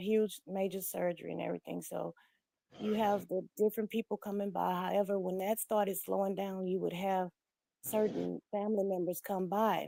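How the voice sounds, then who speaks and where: A woman speaks in a medium pitch with a dark, mellow tone. Her delivery is monotone and flat, with a dry, close sound and no echo. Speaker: livestream panel participant. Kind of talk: personal testimony on livestream.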